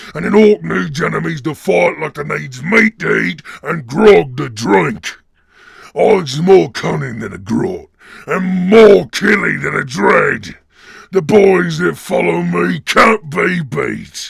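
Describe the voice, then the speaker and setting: A man puts on a raspy character voice with a fairly high pitch. He delivers it at a fairly slow pace. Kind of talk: dramatic character monologue.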